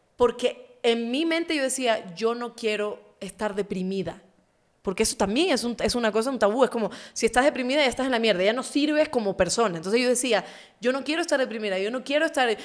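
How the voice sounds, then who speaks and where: A fairly quick woman's voice, high in pitch, with ordinary pitch variation over a quiet background. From Ecuador. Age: 30s. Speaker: journalist and interview show host; journalist, interview show host. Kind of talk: casual interview chat. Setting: studio. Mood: earnest, personal storytelling. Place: studio. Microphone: studio mic.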